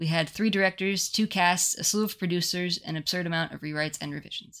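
A woman's fairly low, monotone voice at a fairly quick pace, flat in intonation, on a very clean recording with a silent background. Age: 30s. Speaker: podcast host. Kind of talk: casual chat.

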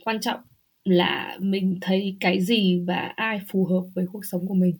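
Intonation is fairly even throughout. There is a somewhat breathy quality to the voice. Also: woman. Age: 30s. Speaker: podcast guest living in Germany. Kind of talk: casual interview chat.

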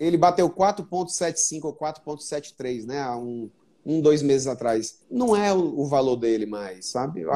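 The man's tone is dark and mellow, his pitch fairly high. He speaks at a very slow pace with lively intonation. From Brazil, Fortaleza (Northeast). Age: 40s. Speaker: entrepreneur and investor. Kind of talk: casual chat.

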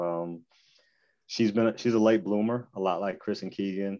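An ordinary speaking voice, a man's with an American accent, fairly low in pitch, at a fairly slow pace with ordinary pitch variation. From Michigan, Battle Creek. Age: 40s. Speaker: former college basketball player. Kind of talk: casual interview.

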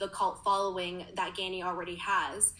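A woman's bright, sharp, medium-pitched voice with a Canadian accent at a moderate pace. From Canada, Toronto. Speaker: store manager. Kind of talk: casual interview.

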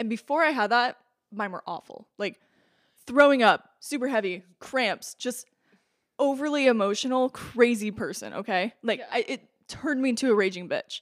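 The speaker talks at a moderate pace in an American accent, with ordinary pitch variation, big swings in loudness, and a dry, close sound with no echo. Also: woman, high pitch for a woman. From southwest Iowa. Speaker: podcast guest, friend of host. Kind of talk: casual chat.

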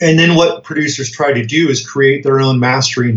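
Somewhat breathy, a man speaks with an American accent and fairly even intonation. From US Colorado. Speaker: music production trainer. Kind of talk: interview.

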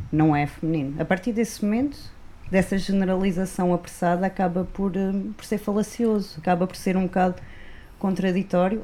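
A woman's medium-pitched voice with a dark, mellow tone, at a moderate pace. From Algarve, Portugal (Vila Real de Santo António). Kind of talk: casual discussion.

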